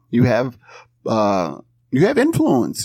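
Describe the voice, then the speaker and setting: This is a man with an ordinary speaking voice and medium pitch. He talks at a moderate pace. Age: 30s. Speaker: improviser and comedian. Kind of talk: casual interview. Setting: remote call.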